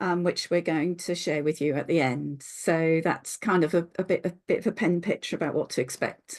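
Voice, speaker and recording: A woman speaks in a normal speaking voice, fairly low in pitch, with fairly even intonation. She keeps a moderate pace with hardly any pauses against a quiet background. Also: very even loudness. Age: 60s. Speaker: later-life doctoral researcher. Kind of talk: online seminar talk.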